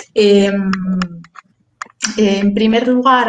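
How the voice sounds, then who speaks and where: A woman speaks at a medium pitch with an Asturian accent. Her intonation stays fairly even. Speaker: lawyer and webinar moderator. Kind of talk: webinar introduction. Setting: online webinar. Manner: halting, many fillers and repetitions.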